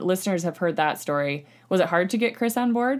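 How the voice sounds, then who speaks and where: With lively intonation and a fairly quick pace, a woman talks in a normal speaking voice. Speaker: podcast host. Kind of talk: casual chat.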